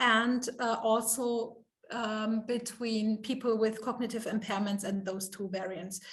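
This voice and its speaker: The speaker talks at a fairly slow pace in a monotone, flat delivery, with room echo audible around the voice. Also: woman. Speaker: professor. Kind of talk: Q&A after lecture. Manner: halting, many fillers.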